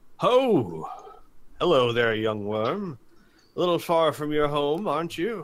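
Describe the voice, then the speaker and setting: A man puts on a character voice at a fairly high pitch. He moves at a fairly slow pace with long, frequent pauses. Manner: hearty, greeting.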